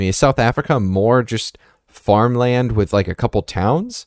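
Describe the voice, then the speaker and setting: In a plain, everyday voice with an American accent, the speaker moves at a fairly slow pace, and the very clean recording has a silent background and a dry, close sound with no echo. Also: man. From US. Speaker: podcast host. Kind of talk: casual chat.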